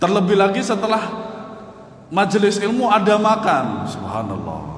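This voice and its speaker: A man with a high pitch speaks loudly, with audible room echo. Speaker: Islamic preacher. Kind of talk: religious study lecture. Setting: mosque. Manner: stammering restarts.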